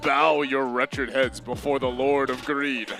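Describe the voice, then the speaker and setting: Someone puts on a character voice at a moderate pace over clear background noise. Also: man, medium pitch for a man. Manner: menacing, scoffing.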